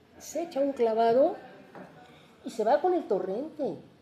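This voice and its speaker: A woman speaks at a fairly slow pace in an animated tone. Noticeable background noise is present. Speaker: literary translator and professor emerita. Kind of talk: panel talk about translation. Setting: university event with live audience.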